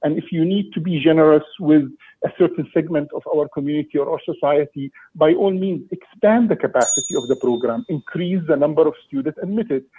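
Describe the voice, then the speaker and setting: With an Egyptian accent, a man talks fairly quickly at a fairly high pitch and ordinary pitch variation. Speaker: parent delegate. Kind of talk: public meeting delegation. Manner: halting, many repetitions.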